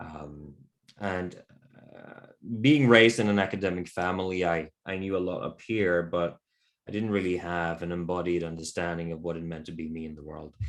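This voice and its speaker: With a Norwegian accent, a man speaks at a moderate pace in a very deep, low voice that swings widely in loudness. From Norway. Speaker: men's work facilitator. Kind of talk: interview conversation. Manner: reflective, hesitant with fillers.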